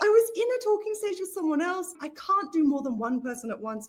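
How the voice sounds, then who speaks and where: A woman with an Australian accent and very wide pitch swings. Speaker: interviewee. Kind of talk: interview. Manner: fast.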